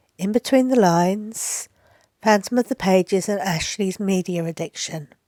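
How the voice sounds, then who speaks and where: With a British accent, a woman talks at medium pitch in a dark, mellow tone with ordinary pitch variation, the sound dry and close with no echo and the recording very clean with a silent background. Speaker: booktuber. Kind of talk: casual vlog talk to camera. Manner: slow; hesitant, many fillers.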